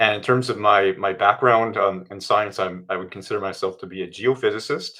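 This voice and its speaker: An American-accented man with a bright, sharp tone and fairly low pitch talks fairly quickly with hardly any pauses, fairly even intonation and big swings in loudness. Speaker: scientist. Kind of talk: interview. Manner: halting.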